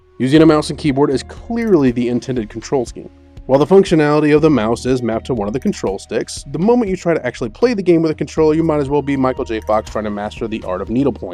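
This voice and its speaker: With music in the background, a man speaks very fast with hardly any pauses, his fairly high voice full of lively intonation. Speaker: game reviewer. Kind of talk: video game review narration.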